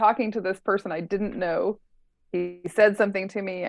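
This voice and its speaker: Her pace fairly quick, a woman uses a normal speaking voice at a medium pitch with fairly even intonation. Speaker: life coach. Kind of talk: casual chat.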